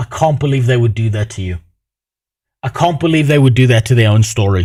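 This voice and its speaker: Somewhat breathy and dark and mellow in tone, a man talks at a fairly quick pace with medium pitch and ordinary pitch variation. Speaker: Twitch streamer. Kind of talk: livestream reaction chat. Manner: casual, profane.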